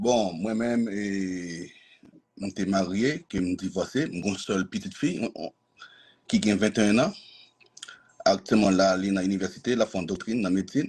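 A man's fairly low voice at a fairly slow pace, with ordinary pitch variation, long, frequent pauses, and a quiet background. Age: 40s. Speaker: dating show candidate; candidate. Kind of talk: self-introduction on a live stream. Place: home room. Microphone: video call.

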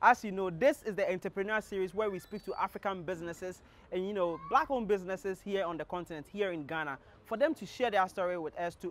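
Over light background noise, a man speaks at a very fast pace in a high voice, the sound dry with no echo. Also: ordinary pitch variation. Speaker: show host. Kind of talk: presenter intro to camera. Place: street. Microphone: lapel.

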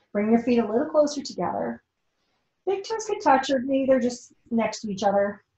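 A woman speaks in a high voice with a dark, mellow tone, and the room echo is audible. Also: lively intonation, moderate pace, quiet background. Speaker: yoga teacher. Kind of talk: guided yoga class instruction. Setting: online live class. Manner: gentle, encouraging. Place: home room. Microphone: camera far.

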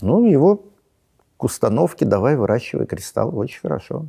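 A man talks at a moderate pace with vocal fry and very wide pitch swings. The background is quiet. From Russia. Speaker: astrophysicist, science popularizer; guest. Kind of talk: interview. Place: studio. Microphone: lapel.

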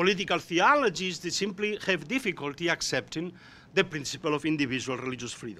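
Using a Spanish accent, a man talks at a fairly quick pace with a high pitch and a bright, sharp tone. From Spain. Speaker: professor. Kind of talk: panel discussion. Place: meeting room. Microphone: podium.

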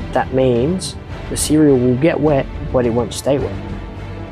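A man speaking at a very slow pace, with clear music in the background. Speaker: maker video host. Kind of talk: comedic narration. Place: home room. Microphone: lapel.

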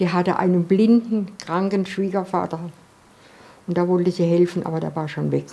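A woman speaks at a moderate pace. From Freiburg, southern Baden, Germany. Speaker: World War II eyewitness. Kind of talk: interview answer. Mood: earnest, recalling painful memories. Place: home room.

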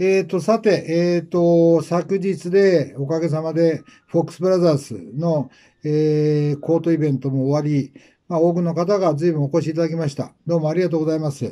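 A dark, mellow tone at a moderate pace, with fairly even intonation over a quiet background. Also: man, fairly high pitch for a man. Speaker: fashion stylist. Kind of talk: casual monologue. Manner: hesitant, many filler words. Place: shop.

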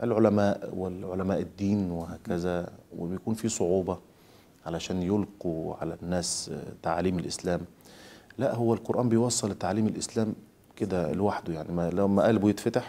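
Speaking at a moderate pace, a man has a very deep, low pitch, a dark, mellow tone and fairly even intonation. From Egypt. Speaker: Quran reciter; interviewee. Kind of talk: interview. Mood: calm, reflective. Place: home room.

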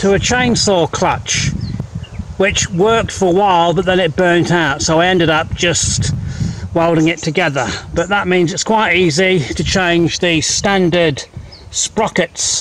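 The speech goes at a fairly slow pace with very even loudness and ordinary pitch variation, while noticeable background noise runs behind it. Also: man, high pitch for a man. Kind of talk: tutorial walkthrough. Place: open country. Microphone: phone near.

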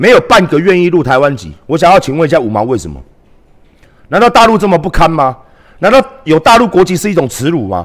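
Against a quiet background, a man talks at a fairly quick pace, his high pitch swinging very widely. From Taiwan. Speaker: live streamer and political commentator; live streamer, political commentator. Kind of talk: livestream rant. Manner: animated. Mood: indignant, combative. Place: home room. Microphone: headset.

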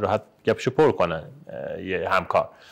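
The background stays quiet. Against it, a man speaks at a very fast pace. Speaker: periodontist. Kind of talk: podcast interview host. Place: home room.

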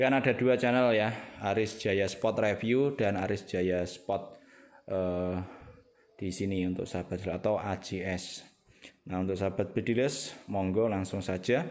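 At a fairly slow pace, a man talks in a normal speaking voice, fairly low in pitch, with ordinary pitch variation. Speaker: airgun seller and channel host. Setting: outdoors in the rain at a shooting range.

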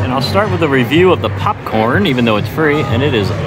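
A man talks at a fairly quick pace over loud background music. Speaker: food vlogger. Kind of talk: casual vlog chat. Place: cafe. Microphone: phone near.

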